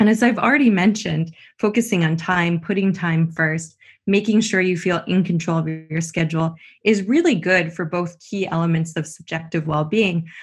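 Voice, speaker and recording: A woman with a Canadian accent speaks at a moderate pace and fairly low pitch, somewhat breathy. Her pitch variation is ordinary, and the background is quiet. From Canada. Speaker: business school professor. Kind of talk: interview.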